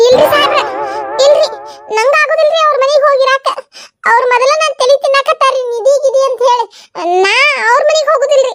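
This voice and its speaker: In a cartoonish character voice, the speaker keeps a moderate pace, fairly even intonation and very even loudness, with a dry, close sound and no echo. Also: woman, extremely high pitch for a woman. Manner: defensive, polite with elders.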